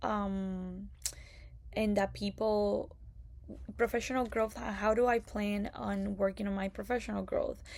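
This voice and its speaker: A woman talks in a Spanish accent. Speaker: occupational therapy graduate student. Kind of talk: prepared class presentation. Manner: hesitant, many fillers.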